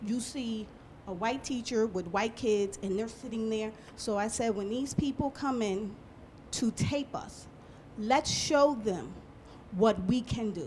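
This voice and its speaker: At a fairly slow pace, a woman speaks animatedly at a fairly high pitch, somewhat breathy, with long, frequent pauses. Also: ordinary pitch variation. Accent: American. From Paterson, New Jersey. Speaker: schoolteacher. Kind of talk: group discussion.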